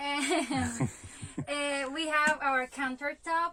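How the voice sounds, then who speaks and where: With a raised, projected voice, a high-pitched woman with a Spanish accent speaks at a very slow pace. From Venezuela. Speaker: van life vlogger. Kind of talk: home tour. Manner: halting, many fillers.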